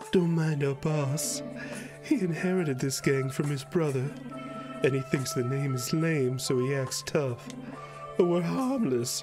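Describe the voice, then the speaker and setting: Over clear music in the background, a man puts on a character voice pitched fairly high. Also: moderate pace. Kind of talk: comic dub of game text. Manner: tough-talking, then nervous.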